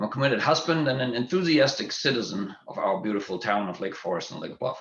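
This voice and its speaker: This man has a German accent and a medium pitch. He talks at a fairly quick pace with ordinary pitch variation. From Germany. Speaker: school board candidate, physician and executive. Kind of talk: candidate forum opening statement.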